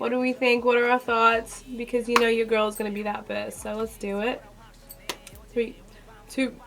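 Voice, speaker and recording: The voice has an animated tone, broken by long, frequent pauses. Noticeable background noise runs underneath. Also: woman, fairly high pitch for a woman, moderate pace. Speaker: reaction youtuber. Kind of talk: casual reaction commentary.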